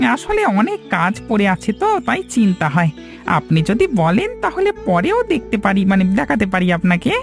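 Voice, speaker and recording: With clear music playing behind him, a man performs a cartoonish character voice. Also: moderate pace. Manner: deferential, polite.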